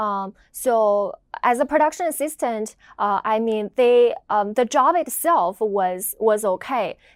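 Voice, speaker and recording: A woman's fairly high voice in a Chinese accent, fairly slow, with lively intonation. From China. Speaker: video editor. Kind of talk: interview. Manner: hesitant, many fillers.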